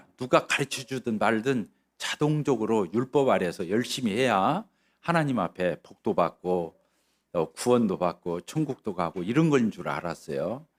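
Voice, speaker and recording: Very wide pitch swings at a fairly slow pace, on a very clean recording with a silent background. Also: man. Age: 60s. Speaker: lay preacher. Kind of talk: testimony. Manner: hesitant, many fillers.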